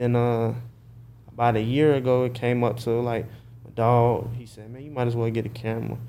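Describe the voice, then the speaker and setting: At a fairly quick pace, the voice has a dark, mellow tone, monotone, flat intonation and big swings in loudness, with audible room echo. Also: man, medium pitch for a man. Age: 20s. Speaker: videographer. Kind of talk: casual chat.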